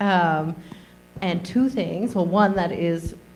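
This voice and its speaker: A woman speaks at a moderate pace. Her voice sits at a medium pitch. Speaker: presenter. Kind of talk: audience comment.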